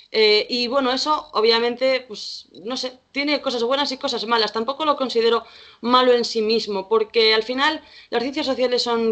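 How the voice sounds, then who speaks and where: A woman with a plain, everyday voice speaks at a fairly high pitch with fairly even intonation. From Spain, Galicia (Vigo). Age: 20s. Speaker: social worker. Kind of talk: casual chat.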